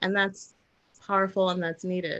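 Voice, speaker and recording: Soft-spoken, a woman talks at a medium pitch with monotone, flat intonation. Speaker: spiritual channeler and intuitive reader. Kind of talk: live stream conversation.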